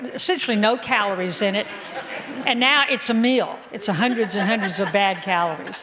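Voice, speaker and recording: Over crowd noise in the background, a woman of medium pitch talks at a moderate pace. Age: 60s. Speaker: physician. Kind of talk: health seminar talk. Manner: animated.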